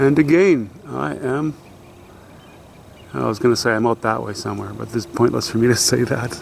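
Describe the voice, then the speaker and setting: Amid noticeable background noise, a man at medium pitch speaks at a moderate pace with lively intonation and long, frequent pauses. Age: 60s. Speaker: vlogger, dirt bike rider. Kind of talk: casual vlog narration. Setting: outdoors. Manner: halting, many fillers and restarts.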